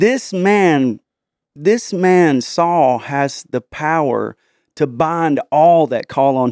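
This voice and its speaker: A man's fairly high pitch in a dry, close sound with no echo, on a very clean recording with a silent background. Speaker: podcast host.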